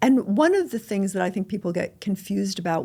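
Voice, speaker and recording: A woman speaks at a moderate pace in a plain, everyday voice, medium in pitch. The recording is very clean, with a silent background. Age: 60s. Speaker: intuitive and author. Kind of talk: podcast interview.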